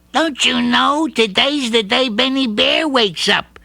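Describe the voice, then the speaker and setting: A put-on character voice comes through at a fairly high pitch. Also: moderate pace. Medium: read story. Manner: eager.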